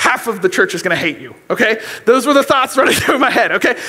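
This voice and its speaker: The voice is raised and projected against a quiet background. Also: man. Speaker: youth pastor. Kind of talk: sermon. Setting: church. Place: church. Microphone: headset.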